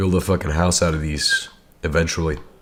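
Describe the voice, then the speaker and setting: Over noticeable background noise, a man with a very deep, low voice speaks fairly quickly in a flat monotone. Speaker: gaming streamer. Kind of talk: casual live gameplay commentary. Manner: casual, slangy.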